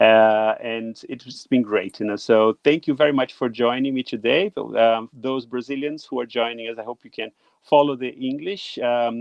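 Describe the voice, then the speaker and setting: In a Portuguese accent, a man speaks at a medium pitch and a moderate pace with hardly any pauses and ordinary pitch variation. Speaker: livestream host. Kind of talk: livestream talk show intro. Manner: hesitant, many fillers.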